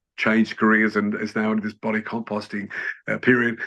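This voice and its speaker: A man with an Australian accent speaks at medium pitch in a bright, sharp tone. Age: 70s. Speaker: journalist. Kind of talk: interview answer.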